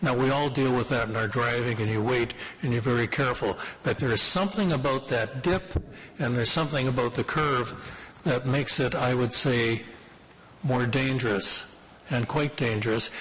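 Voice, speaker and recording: With noticeable background noise, a man talks at a moderate pace and medium pitch, his loudness very even and his pitch varying in an ordinary way. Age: 60s. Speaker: local resident addressing city committee. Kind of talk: public delegation at council committee. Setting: city committee meeting room.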